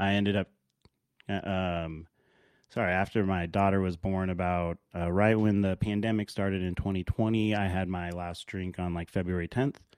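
In an American accent, a man with a very deep, low pitch talks at a moderate pace in a monotone, flat intonation, with a dry, close sound with no echo and a quiet background. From Alaska (Anchorage). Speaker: podcast host. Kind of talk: casual monologue. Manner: halting, many fillers.

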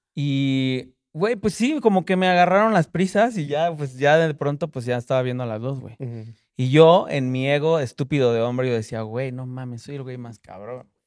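On a very clean recording with a silent background, a man with a Mexican accent and a fairly high pitch talks with hardly any pauses and big swings in loudness. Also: lively intonation, moderate pace. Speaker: rapper and music producer. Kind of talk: casual chat.

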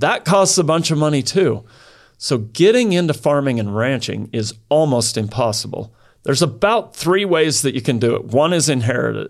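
Using an ordinary speaking voice, a man with a fairly high pitch and lively intonation speaks at a moderate pace, captured in a very clean recording over a silent background. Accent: American. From Idaho. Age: 50s. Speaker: cattle rancher. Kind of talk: casual interview.

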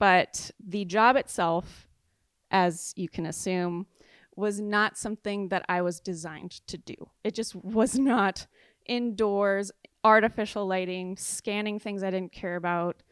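With a Californian accent, a woman speaks at a moderate pace, her medium pitch held in fairly even intonation. The sound is dry and close with no echo, on a very clean recording with a silent background. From southern California, San Clemente. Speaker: artist and business owner. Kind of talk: interview.

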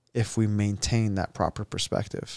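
In a very clean recording with a silent background and a dry, close sound with no echo, a man with a normal speaking voice speaks at a moderate pace and a fairly low pitch. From US, Egyptian immigrant family. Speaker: podcast host. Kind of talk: casual chat.

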